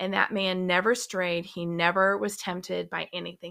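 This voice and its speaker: Recorded very cleanly against a silent background, a woman speaks with a Southern US accent. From US South, mostly Georgia. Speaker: guest, host's mother. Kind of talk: personal testimony.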